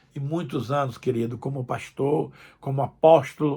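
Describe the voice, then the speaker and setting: The speaker talks at a fairly slow pace. The recording is very clean, with a silent background. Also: man. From Brazil, Northeast. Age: 70s. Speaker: pastor. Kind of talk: sermon. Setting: recorded video message.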